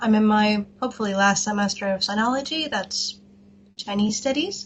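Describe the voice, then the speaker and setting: Her voice is fairly high and somewhat breathy. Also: ordinary pitch variation, moderate pace. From Austria. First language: German. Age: 20s. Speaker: university student, interviewee. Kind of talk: interview.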